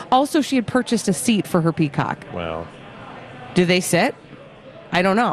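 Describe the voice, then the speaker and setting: With a Minnesotan accent, a woman speaks at a moderate pace with lively intonation, medium pitch and long, frequent pauses over noticeable background noise. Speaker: radio host. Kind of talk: casual chat, radio banter.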